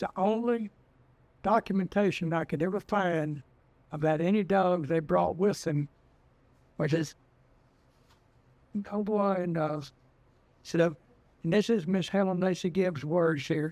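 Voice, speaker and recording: A high-pitched man with a Texas accent at a fairly slow pace, ordinary pitch variation and long, frequent pauses. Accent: Texas rural. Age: 80s+. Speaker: retired trapper and dog breeder. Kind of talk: storytelling interview.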